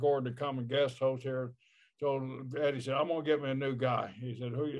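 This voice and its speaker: Speaking at a fairly quick pace, this American-accented voice is an unremarkable speaking voice. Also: man. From Oklahoma. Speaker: former pro wrestler, podcast co-host. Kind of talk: casual chat.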